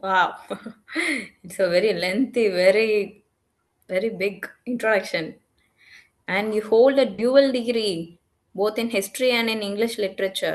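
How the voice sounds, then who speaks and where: A woman with a Tamil accent, fairly high-pitched and fairly even in intonation, with long, frequent pauses against a quiet background. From Tamil Nadu, India. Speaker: English teacher. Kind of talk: casual conversation. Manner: halting.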